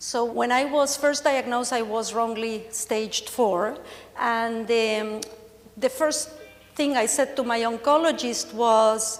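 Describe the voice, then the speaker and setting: There is audible room echo around a woman with an Argentine accent. Her pitch is fairly high, with ordinary variation. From Argentina. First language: Spanish. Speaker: cancer patient speaker. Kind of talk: conference presentation. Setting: stage with audience.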